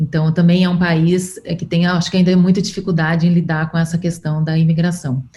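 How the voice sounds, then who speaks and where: This woman's voice is fairly low, somewhat breathy and dark and mellow in tone, with a monotone, flat delivery. She speaks at a fairly quick pace with hardly any pauses. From Brazil. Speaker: podcast host. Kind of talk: interview conversation.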